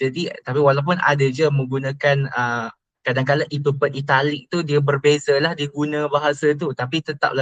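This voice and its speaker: In a monotone, flat intonation, a male speaker moves along at a fairly quick pace. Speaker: university student. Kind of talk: interview. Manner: hesitant, many fillers.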